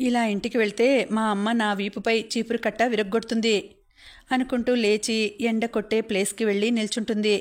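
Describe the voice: The voice does plain reading aloud. Nothing else marks the delivery.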